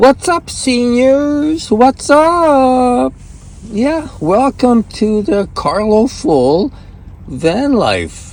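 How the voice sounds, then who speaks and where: A man talks at a very slow pace, his voice pitched extremely high with lively intonation. Noticeable background noise runs behind him. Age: 80s+. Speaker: vlogger. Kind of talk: casual vlog.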